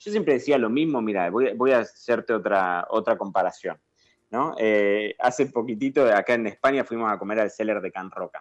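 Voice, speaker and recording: A man with a plain, everyday voice, ordinary pitch variation and a fairly quick pace against a quiet background. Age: 30s. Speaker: sommelier. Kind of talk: casual interview.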